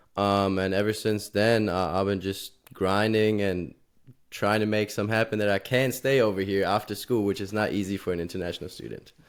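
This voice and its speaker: In a German accent, a man talks at a fairly quick pace with a fairly low pitch. His intonation is fairly even, and the recording is very clean against a silent background. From Germany. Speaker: college student and intern. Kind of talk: casual podcast chat. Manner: hesitant, many filler ums.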